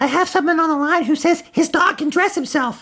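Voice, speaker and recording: In a put-on character voice, a woman sounds whiny and squeaky at an extremely high pitch, speaking at a fairly quick pace with ordinary pitch variation and very even loudness on a very clean recording with a silent background. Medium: stage play.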